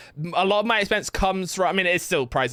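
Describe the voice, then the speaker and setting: A man speaks in an animated way, his pitch high for a male voice and his tone bright and sharp. The recording is very clean, with total silence behind him. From England. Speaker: gaming streamer. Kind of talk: casual chat. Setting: live stream.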